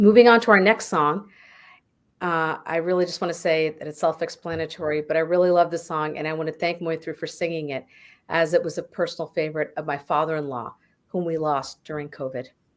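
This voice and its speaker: Recorded very cleanly against a silent background, a woman with an American accent speaks quickly-ish at a fairly quick pace in a normal speaking voice, fairly low in pitch, with ordinary pitch variation and big swings in loudness. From United States. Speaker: concert presenter. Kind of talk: introducing a song at a concert. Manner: casual, with fillers.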